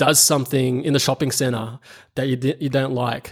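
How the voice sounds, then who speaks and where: Fairly slow speech from a man with an Australian accent. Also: very clean recording, silent background. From Australia, moved from the Philippines at about eight. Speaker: video marketing agency founder. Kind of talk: interview. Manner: hesitant, many fillers and repetitions.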